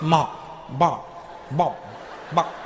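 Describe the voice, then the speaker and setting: Using a put-on character voice, a man speaks in a fairly high pitch, with slight echo and clear background noise. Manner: clucking chicken impression.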